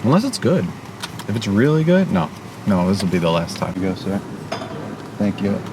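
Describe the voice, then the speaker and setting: Lively in intonation and fairly quick, a man with a fairly low pitch takes long, frequent pauses amid audible room echo and noticeable background noise. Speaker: vlogger. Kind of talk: casual vlog review.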